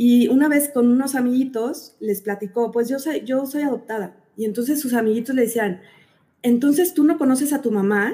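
This woman has a dark, mellow tone and a high pitch. She talks at a moderate pace with a Mexican accent. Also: ordinary pitch variation. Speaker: podcast host, adoptive mother. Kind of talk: interview.

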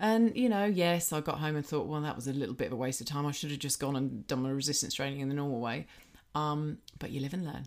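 Talking at a very fast pace with an English accent, a woman has a very deep, low pitch and ordinary pitch variation. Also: very clean recording, silent background. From Britain. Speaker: personal trainer and podcast co-host. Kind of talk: casual chat.

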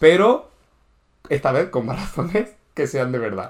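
A man speaks at a moderate pace. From Murcia, Spain. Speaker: podcast co-host. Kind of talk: casual chat. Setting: indoors.

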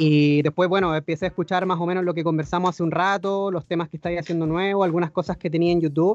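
A man with a Chilean accent at a high pitch, very fast and monotone, with hardly any pauses, in a dry, close sound with no echo. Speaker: podcast host. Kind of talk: casual interview.

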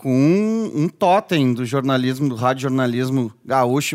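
A man speaks in a normal speaking voice at a moderate pace, with a medium pitch and ordinary pitch variation. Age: 40s. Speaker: podcast host. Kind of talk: casual interview. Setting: studio.

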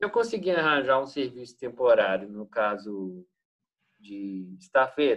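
At a fairly slow pace, a man speaks in a medium pitch with very wide pitch swings. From Brazil, Minas Gerais. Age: 20s. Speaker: exchange student and English teacher. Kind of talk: interview. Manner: halting, frequent repetitions.

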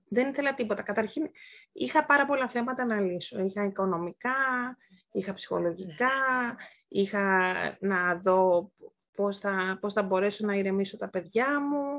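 Pausing long and often, a woman talks at a fairly slow pace in a medium pitch with lively intonation against a quiet background. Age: 40s. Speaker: podcast guest. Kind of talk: casual chat. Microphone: may not have very good sound.

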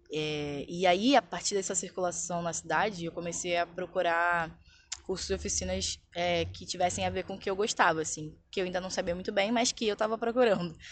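In a quiet background, a woman with a fairly low pitch and vocal fry talks at a fairly quick pace with ordinary pitch variation. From Brazil, Baixada Fluminense (Rio de Janeiro). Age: 20s. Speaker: visual artist. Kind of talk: interview.

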